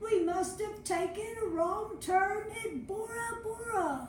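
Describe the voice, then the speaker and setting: A woman performs a put-on character voice at a fairly slow pace. There is a slight echo. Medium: read story. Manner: loud, hearty pirate talk.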